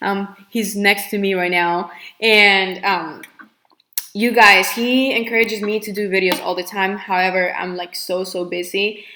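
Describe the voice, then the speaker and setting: With a Spanish accent, a woman talks at a fairly slow pace and medium pitch, her intonation fairly even. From Colombia. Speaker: nail technician. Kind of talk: live Q&A. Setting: livestream. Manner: hesitant, filler-heavy.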